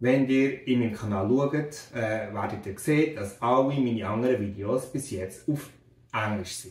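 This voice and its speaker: A man with a Bernese accent talks at medium pitch with ordinary pitch variation. His voice is somewhat breathy, and the room echo is audible. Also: fairly slow pace. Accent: Bernese Swiss German. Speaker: physics teacher. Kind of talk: casual educational channel intro to camera. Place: home room.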